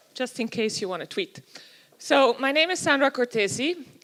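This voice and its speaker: A woman with a Swiss German accent at a moderate pace. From Switzerland. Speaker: youth and technology researcher. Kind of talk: conference talk. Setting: stage with audience.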